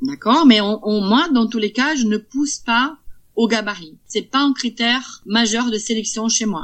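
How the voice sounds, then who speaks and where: A woman speaks in a Brazilian accent at a fairly slow pace. Her pitch varies in an ordinary way. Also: fairly high pitch for a woman. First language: Portuguese (speaking French). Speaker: cat breeder. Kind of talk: interview. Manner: halting.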